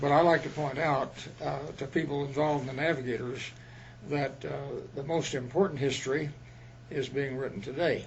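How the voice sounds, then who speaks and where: The somewhat breathy voice moves at a fairly quick pace with fairly even intonation, broken by long, frequent pauses, and audible room echo surrounds it. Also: man, fairly high pitch for a man. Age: 90s. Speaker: retired missionary. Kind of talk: interview.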